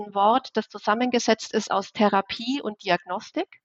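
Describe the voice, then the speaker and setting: A woman with an unremarkable speaking voice talks at a fairly slow pace, her fairly high pitch held in fairly even intonation. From Bavaria, Germany. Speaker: chemistry professor. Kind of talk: interview.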